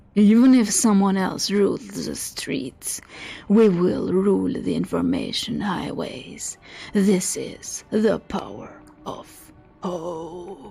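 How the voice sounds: Over faint music in the background, a put-on character voice delivers lines at a very slow pace in a dramatic, theatrical tone. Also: woman, medium pitch for a woman.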